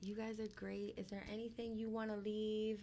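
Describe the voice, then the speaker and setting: In a Spanish accent, a woman talks at a fairly high pitch. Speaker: guest host. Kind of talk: casual chat.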